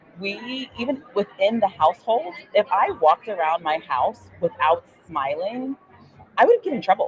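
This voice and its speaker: A woman's bubbly, animated voice at medium pitch, full of very wide pitch swings. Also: moderate pace. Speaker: podcast host and veterinarian. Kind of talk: interview. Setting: live at a conference, noisy surroundings.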